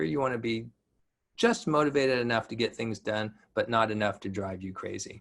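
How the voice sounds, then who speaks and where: The man's voice sits at a medium pitch. He talks at a moderate pace. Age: 60s. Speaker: physician and wellness speaker. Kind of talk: lecture. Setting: webinar. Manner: halting with many fillers.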